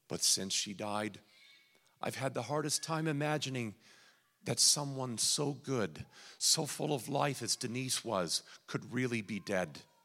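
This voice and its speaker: Vocal fry runs through this man's medium-pitched voice, and his intonation is lively. He speaks fairly slowly on a very clean recording with a silent background. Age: 40s. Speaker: guest preacher. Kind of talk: sermon. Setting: church.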